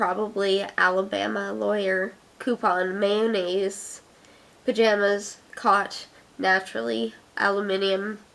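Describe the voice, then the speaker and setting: A woman's medium-pitched voice at a very slow pace. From Canada, Ottawa. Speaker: video blogger. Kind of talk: casual chat.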